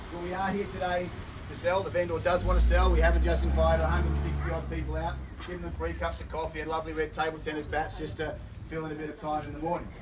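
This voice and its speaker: Energetic in tone, a man talks at a very fast pace over noticeable background noise. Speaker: auctioneer. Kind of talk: live auction patter. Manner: fast, persuasive, energetic.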